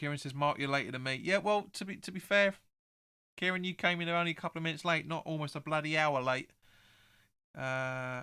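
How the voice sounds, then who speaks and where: Recorded very cleanly with a silent background, a man speaks at a fairly high pitch in a bright, sharp tone with fairly even intonation. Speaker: football fan channel host. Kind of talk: live stream chat reading viewer comments. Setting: live stream. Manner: halting, frequent repetitions.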